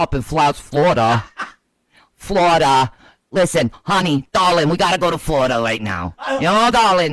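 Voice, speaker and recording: A man puts on a character voice that is gravelly and gruff at a fairly high pitch. He talks at a moderate pace. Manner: pleading to a darling.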